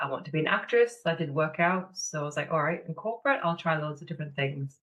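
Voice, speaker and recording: Speaking with a northeast English accent, a woman has a very deep, low pitch. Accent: northeast English (Sunderland). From northeast England, Sunderland. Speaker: online business manager and mentor. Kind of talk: podcast interview.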